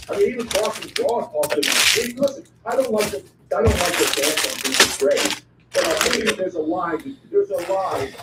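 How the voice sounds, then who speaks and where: Noticeable background noise is heard behind a man with a high pitch. His pitch swings very widely at a fairly quick pace. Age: 70s. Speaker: radio host. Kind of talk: casual chat. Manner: animated.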